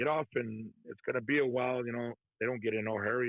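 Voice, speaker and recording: Speaking at a moderate pace, a man talks in a Texan accent. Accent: Texan American English. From Texas. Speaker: trucker, former prisoner. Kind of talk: interview testimony. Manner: soft-spoken; casual, conversational.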